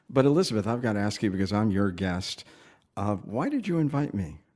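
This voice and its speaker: A man with a plain, everyday voice, fairly low in pitch, at a fairly quick pace with lively intonation, on a very clean recording with a silent background. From Connecticut, Waterbury. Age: 60s. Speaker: podcast host, former TV programming head. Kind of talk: interview conversation.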